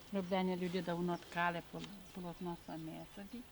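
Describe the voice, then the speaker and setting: Speaking with a western Ukrainian accent, a woman keeps a fairly low pitch and a monotone, flat intonation at a moderate pace. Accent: western Ukrainian Carpathian dialect. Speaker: village grandmother. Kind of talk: casual chat.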